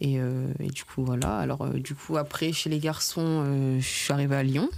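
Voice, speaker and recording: A woman speaks with a very deep, low pitch at a moderate pace. Her loudness stays very even and her intonation fairly even. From Paris region, Seine-et-Marne. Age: 20s. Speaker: professional football player. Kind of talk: podcast interview.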